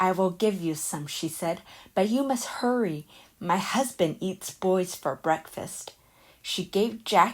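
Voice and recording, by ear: This is natural-voiced reading aloud.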